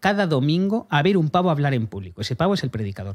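This man talks at a fairly quick pace with a fairly high pitch. The recording is very clean, with a silent background. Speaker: comedy podcast host. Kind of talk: casual chat. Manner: fast.

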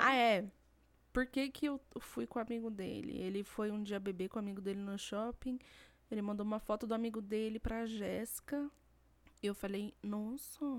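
A woman speaks at a moderate pace with a fairly high pitch and fairly even intonation. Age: 20s. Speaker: podcast co-host. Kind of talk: casual chat. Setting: home recording, not a studio.

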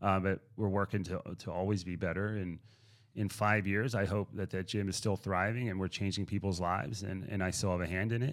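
In a very clean recording with a silent background, a man with an American accent has an unremarkable speaking voice, fairly low in pitch, with fairly even intonation and a fairly quick pace. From Pittsburgh, Pennsylvania. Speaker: gym owner and fitness coach. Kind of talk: casual interview.

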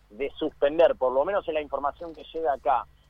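A man's fairly high voice is heard through noticeable background noise. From Argentina. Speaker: sports radio co-host. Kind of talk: radio interview. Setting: phone call.

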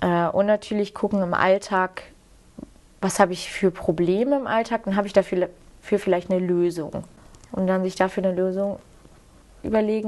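Long, frequent pauses break up a woman's speech. She keeps a moderate pace and fairly even intonation. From Rhineland, Germany (near Cologne). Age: 20s. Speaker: farmer and agriculture student. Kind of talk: interview.

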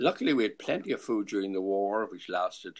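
A man with a Clare accent. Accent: Irish, Clare. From Ennis, Ireland. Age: 80s. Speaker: grandfather being interviewed. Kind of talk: casual interview, reminiscing.

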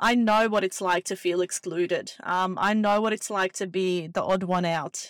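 A woman with an Australian accent speaks at a moderate pace and medium pitch, her intonation monotone and flat. The sound is dry and close with no echo, on a very clean recording with a silent background. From Bosnia, raised in Australia from about age 11. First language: Bosnian/Serbo-Croatian. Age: 30s. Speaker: podcast host. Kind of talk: casual solo monologue. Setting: in a car.

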